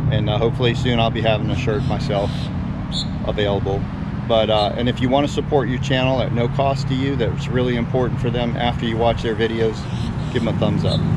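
A man talks at a very fast pace over loud background noise. The sound is dry with no echo. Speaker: fishing vlogger. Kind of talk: casual vlog chat. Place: street. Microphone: phone near.

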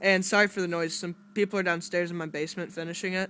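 A man's high voice over light background noise. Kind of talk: casual vlog chat. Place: home room. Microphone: phone near.

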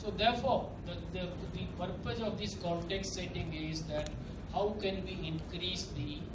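A man at a fairly slow pace amid loud background noise. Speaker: government official on panel. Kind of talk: panel discussion talk. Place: hall.

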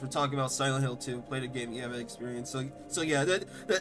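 A man's fairly high-pitched voice at a very fast pace, with music in the background. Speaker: podcast host. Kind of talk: casual podcast conversation. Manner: stuttering, fumbling words.

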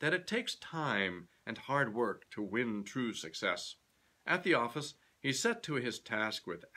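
The reading aloud is plain, with lively intonation.

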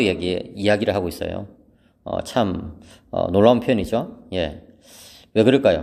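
A man speaks quietly in a calm, dark, mellow tone on a very clean recording with a silent background. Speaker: theology professor. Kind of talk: lecture. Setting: empty seminary hall. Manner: calm, subdued.

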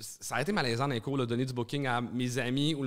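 With a Quebec accent, the speaker talks in fairly even intonation against a quiet background. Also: man. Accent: Québécois French. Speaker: stand-up comedian and comedy club owner; stand-up comedian. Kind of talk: casual chat. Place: studio. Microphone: studio mic.

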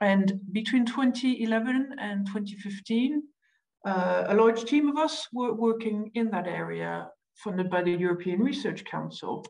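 Using a plain, everyday voice, a woman with a fairly high pitch speaks at a fairly slow pace with ordinary pitch variation. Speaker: researcher. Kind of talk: academic presentation. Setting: video call.

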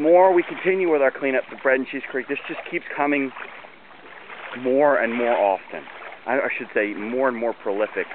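A man's medium-pitched voice with an American accent, dry with no echo, over noticeable background noise. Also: ordinary pitch variation, moderate pace. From US, Maryland (Baltimore area). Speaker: community volunteer organizer. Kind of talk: walking video narration. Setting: outdoors. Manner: casual, with fillers. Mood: enthusiastic, proud. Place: waterside. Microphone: phone near.

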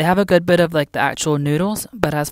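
This woman talks at a fairly quick pace. The sound is dry with no echo. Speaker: teacher living abroad. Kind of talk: casual vlog chat. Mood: relaxed, friendly. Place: shop. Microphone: phone near.

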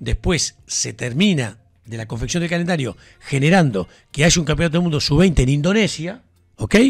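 A man with a Uruguayan accent talks at a fairly quick pace in a fairly high voice with vocal fry, lively intonation and an animated tone, over a quiet background. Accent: Rioplatense Spanish (Uruguayan). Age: 50s. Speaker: sports radio host. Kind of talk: casual sports talk. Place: studio. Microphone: studio mic.

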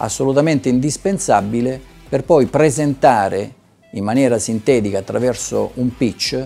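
Faint music plays in the background as a man speaks at a fairly slow pace with ordinary pitch variation. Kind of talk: interview answer. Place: hall. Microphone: lapel.

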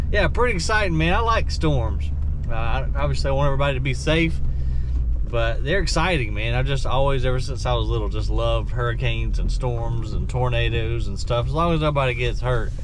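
A man at a fairly quick pace, with a dry sound with no echo and noticeable background noise. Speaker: landfill worker vlogger. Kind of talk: casual vlog chat. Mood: excited, cheerful. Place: car. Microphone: phone near.

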